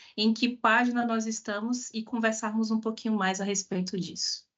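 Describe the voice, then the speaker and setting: With a fairly high pitch, a woman speaks at a moderate pace. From Bahia, Brazil (Salvador). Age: 30s. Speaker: diversity and inclusion specialist, speaker. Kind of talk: online talk/lecture with audience interaction.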